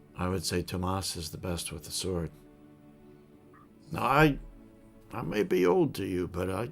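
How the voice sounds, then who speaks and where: A man's raspy, put-on character voice at a very deep, low pitch, with lively intonation, a moderate pace and long, frequent pauses over clear background music. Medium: actual play. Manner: gruff, boastful.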